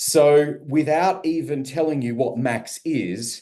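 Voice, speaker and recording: With an Australian accent, a man speaks in a dark, mellow tone with lively intonation. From Australia, Melbourne. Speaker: radio business consultant. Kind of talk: testimony.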